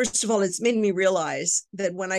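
With an American accent, a woman speaks in an ordinary speaking voice at medium pitch. Her intonation is fairly even and her pace moderate. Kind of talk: interview. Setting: video call.

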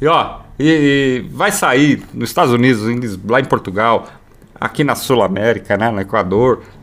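A man's medium-pitched voice at a fairly slow pace, with lively intonation over noticeable background noise. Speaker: radio host. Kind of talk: casual chat.

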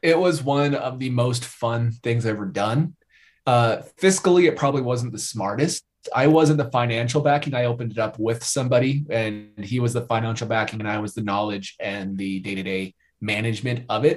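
A man's somewhat breathy voice at medium pitch, with ordinary pitch variation and a fairly quick pace. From Idaho, US. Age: 20s. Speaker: YouTube content creator. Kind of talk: casual chat.

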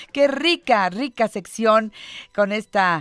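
On a very clean, dry, close recording with no echo and a silent background, a woman speaks very slowly with lively intonation. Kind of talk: interview.

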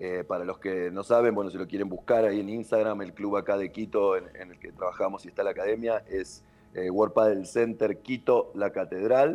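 A man with a normal speaking voice talks at a fairly low pitch and moderate pace, with fairly even intonation. His loudness swings widely, and there are hardly any pauses. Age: 30s. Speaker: padel coach. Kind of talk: casual interview.

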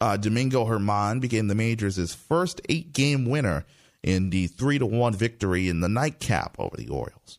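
A man with an unremarkable speaking voice, medium pitch and moderate pace, on a very clean recording with a silent background. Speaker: radio host. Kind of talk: radio dj patter: scripted-sounding morning news and traffic show, upbeat station-ID style. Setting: radio studio. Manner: brisk, polished, sign-off catchphrases.

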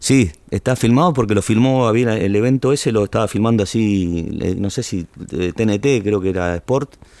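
A man's fairly low voice in a Rioplatense accent, with ordinary pitch variation at a moderate pace. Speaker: tango singer. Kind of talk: casual interview chat.

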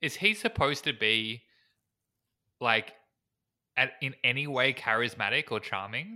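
A man speaks with a bright, sharp tone and vocal fry. His intonation is lively, with long, frequent pauses. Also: medium pitch for a man, very clean recording, silent background. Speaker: podcast co-host. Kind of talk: casual chat.

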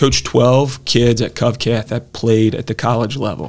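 Vocal fry with ordinary pitch variation. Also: man. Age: 20s. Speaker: high school basketball coach. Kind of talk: casual interview.

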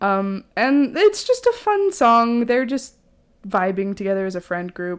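On a very clean recording with a silent background, a woman talks at a fairly slow pace with very wide pitch swings. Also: fairly high pitch for a woman. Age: 20s. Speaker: podcast co-host. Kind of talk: casual chat.

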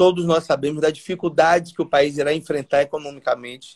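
A plain, everyday voice. It moves along at a moderate pace. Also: man. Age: 40s. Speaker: state legislator. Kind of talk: interview.

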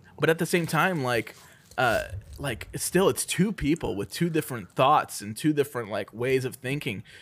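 A man speaks at a moderate pace in a fairly high voice with lively intonation. The recording is very clean, with a silent background. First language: not English. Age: 30s. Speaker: film podcast co-host. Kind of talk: casual chat.

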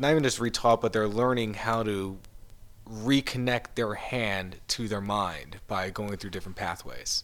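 A man with a normal speaking voice talks at a fairly low pitch. His pace is moderate and his intonation fairly even. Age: 30s. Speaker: photographer. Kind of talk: casual chat.

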